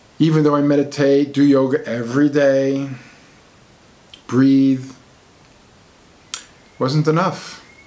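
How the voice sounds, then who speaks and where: A man speaks very slowly at a fairly high pitch, with long, frequent pauses and monotone, flat intonation. His loudness stays very even, and there is noticeable background noise. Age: 60s. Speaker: alternative medicine author. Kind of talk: personal talk to camera.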